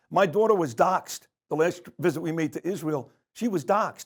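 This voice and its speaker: A high-pitched man with a New York accent speaks at a moderate pace with lively intonation. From New York, Brooklyn. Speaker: media personality. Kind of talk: interview.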